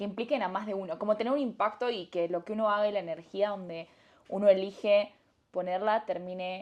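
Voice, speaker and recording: Speaking fairly quickly in an Argentine accent, a woman uses an animated tone at a medium pitch. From Argentina. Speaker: entrepreneur, company founder. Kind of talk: casual interview.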